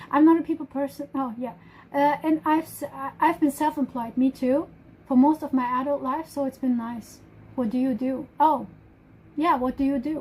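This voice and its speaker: In a German accent, a woman with a high pitch speaks with fairly even intonation. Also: moderate pace. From Germany. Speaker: live streamer. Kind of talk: casual chat. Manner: halting.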